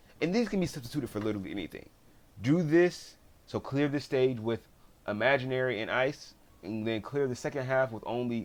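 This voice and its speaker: Mumbling, a man speaks with ordinary pitch variation. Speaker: gaming YouTuber. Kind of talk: casual video commentary. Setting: home recording at PC. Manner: halting, repetitive restarts.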